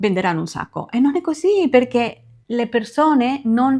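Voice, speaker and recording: The speaker has a Spanish accent. The intonation is lively. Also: woman, very clean recording, silent background. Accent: Spanish accent in Italian. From Spain, Barcelona. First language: Spanish (speaking Italian). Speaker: beauty consultant and sales team leader. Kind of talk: tutorial.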